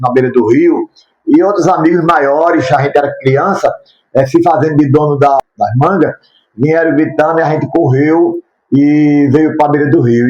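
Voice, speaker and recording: This is a man with an ordinary speaking voice. His pitch is fairly high, his pace moderate, and his intonation fairly even. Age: 60s. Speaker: YouTuber sharing his life story. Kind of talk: testimony.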